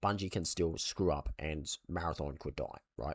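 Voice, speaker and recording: This man's voice carries vocal fry. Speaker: gaming commentator. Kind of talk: casual talk to camera.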